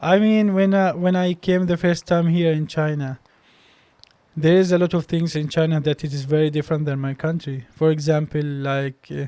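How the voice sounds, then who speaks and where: A man with an Arabic accent speaks in a dark, mellow tone at a fairly high pitch, with fairly even intonation. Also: moderate pace. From Palestine, West Bank. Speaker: doctor and medical graduate student. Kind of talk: interview conversation. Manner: halting, many repeated words.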